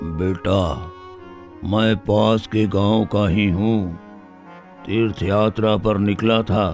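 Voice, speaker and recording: Doing a cartoonish character voice, a man speaks at a very slow pace with fairly low pitch and fairly even intonation while faint music plays behind him. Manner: gentle, polite.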